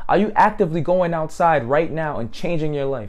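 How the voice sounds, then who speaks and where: Amid audible room echo, a man with a fairly high pitch speaks at a moderate pace in an animated tone with lively intonation. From grew up in a housing project area. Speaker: motivational speaker. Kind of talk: motivational monologue.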